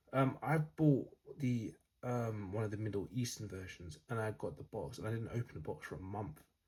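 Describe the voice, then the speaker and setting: Somewhat breathy and dark, mellow in tone, a man's fairly low voice moves at a moderate pace with lively intonation. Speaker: fragrance reviewer. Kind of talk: casual vlog talk. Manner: hesitant, many fillers.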